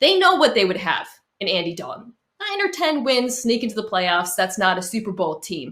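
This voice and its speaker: A woman speaks in a Boston accent with a bright, sharp tone. Her pitch swings very widely at a moderate pace. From Boston area. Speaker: sports talk show panelist. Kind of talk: casual sports debate.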